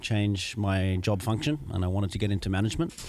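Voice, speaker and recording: The voice belongs to a man with an Australian accent. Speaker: MBA student. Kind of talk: interview. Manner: hesitant, many fillers.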